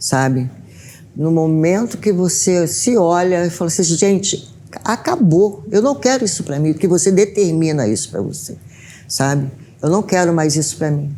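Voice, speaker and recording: Over noticeable background noise, a woman speaks with lively intonation at a moderate pace. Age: 60s. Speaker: domestic violence survivor. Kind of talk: testimony. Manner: halting.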